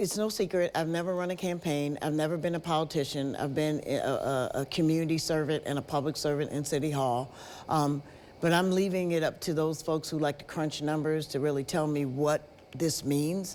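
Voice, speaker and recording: Very deep and low, a woman's voice moves at a fairly quick pace with an American accent, fairly even intonation and very even loudness. The recording is very clean, with a silent background. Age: 60s. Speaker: politician. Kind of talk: TV news interview.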